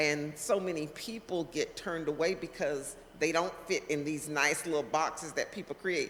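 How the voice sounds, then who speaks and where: Her voice has a very deep, low pitch and fairly even intonation. The woman keeps a moderate pace with hardly any pauses. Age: 60s. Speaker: community leader and political candidate. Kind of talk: interview. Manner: halting.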